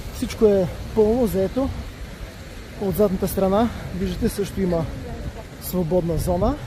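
A man talks at a fairly slow pace with a high pitch, ordinary pitch variation, and long, frequent pauses. The sound is dry with no echo, and there is noticeable background noise. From Bulgaria. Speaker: travel vlogger. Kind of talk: travel vlog narration. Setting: outdoors on a beach. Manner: casual, conversational. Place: beach. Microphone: phone near.

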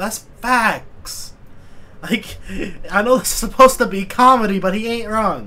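A fairly slowly paced male voice. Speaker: YouTube reaction creator. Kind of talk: casual reaction commentary. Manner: excitable, swearing, laughing a lot. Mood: amused, laughing. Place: home room.

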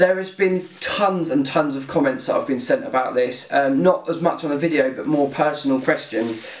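A man speaks at a moderate pace with ordinary pitch variation and hardly any pauses, and the room echo is audible. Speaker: gear reviewer. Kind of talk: casual product review vlog. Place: home room.

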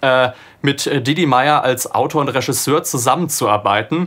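At a fairly slow pace, a man speaks with a fairly high pitch and ordinary pitch variation. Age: 20s. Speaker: audio drama producer and sound designer; radio drama producer. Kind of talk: interview monologue about a production. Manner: casual with frequent filler sounds. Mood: relaxed, engaged. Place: studio.

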